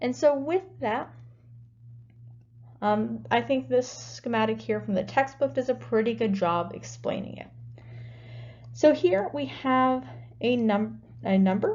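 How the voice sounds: A woman with a fairly high pitch and a slightly mellow tone speaks at a fairly slow pace with lively intonation and long, frequent pauses.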